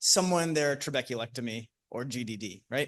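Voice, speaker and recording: The man's voice sits at a medium pitch. The background is quiet. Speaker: ophthalmologist presenting at conference. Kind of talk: conference talk. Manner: loud; hesitant, many fillers.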